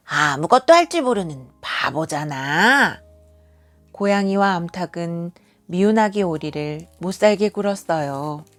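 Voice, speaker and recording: Very slowly, a woman with a fairly low pitch speaks with lively intonation. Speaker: kindergarten teacher; award-winning storyteller. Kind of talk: bedtime story reading to a child. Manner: expressive storytelling with character voices.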